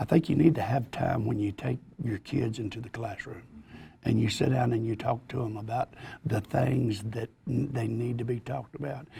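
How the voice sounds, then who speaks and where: The man's tone is dark and mellow, and somewhat breathy. He speaks at a moderate pace with ordinary pitch variation. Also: medium pitch for a man. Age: 60s. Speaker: football coach. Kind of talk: panel discussion.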